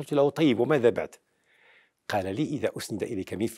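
Over a quiet background, a man with a fairly high pitch talks at a moderate pace in a dark, mellow tone with lively intonation. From Morocco, Meknes; Morocco. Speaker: professor of international relations and political analyst; interviewee. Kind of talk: interview, mostly formal Arabic. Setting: at his home. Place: home room. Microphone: lapel.

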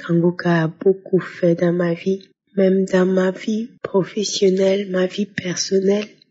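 A woman talks at a very slow pace. Her intonation is monotone and flat. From Burkina Faso. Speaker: testimony giver. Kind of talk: testimony.

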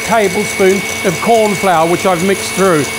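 A man talks with ordinary pitch variation while noticeable background noise carries on. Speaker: home cook host. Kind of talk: cooking tutorial. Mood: warm, chatty. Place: kitchen.

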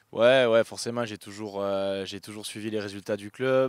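A man speaks with fairly even intonation. The recording is very clean, with a silent background. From southern France, Béziers. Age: 30s. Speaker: professional rugby player. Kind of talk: interview. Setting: outdoors at stadium. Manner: halting, many fillers.

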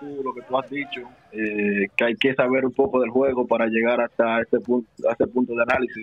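A man talks at a moderate pace with ordinary pitch variation, and there is noticeable background noise. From Dominican Republic, Santo Domingo. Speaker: professional basketball player. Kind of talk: interview. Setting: phone call.

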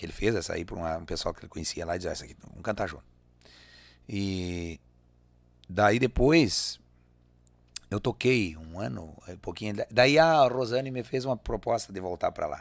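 A man with a fairly low pitch speaks at a moderate pace, taking long, frequent pauses, against a quiet background. His intonation is lively, and his loudness swings a lot. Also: dry sound with no echo. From Rio Grande do Sul, Brazil. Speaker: singer and accordionist; guest. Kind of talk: casual interview. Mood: relaxed, reflective. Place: studio. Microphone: studio mic.

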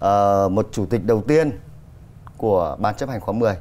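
This man has a dark, mellow tone and lively intonation. He talks at a moderate pace. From Vietnam. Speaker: TV program host. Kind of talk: studio interview. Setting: studio. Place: studio. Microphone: lapel.

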